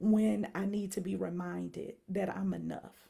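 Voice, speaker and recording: A woman speaks with a Southern US accent. Her tone is animated. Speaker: mental health speaker and workshop leader. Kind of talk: video announcement to followers.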